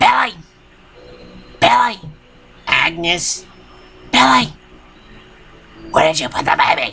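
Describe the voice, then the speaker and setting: A raspy, put-on character voice moves at a fairly slow pace, broken by long, frequent pauses. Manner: weird, insane, frantic.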